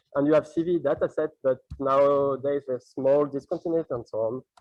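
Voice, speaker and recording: A man with a French accent talks at a very fast pace. His pitch is fairly high, and his intonation is fairly even. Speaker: PhD student researcher. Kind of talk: conference talk. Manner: halting.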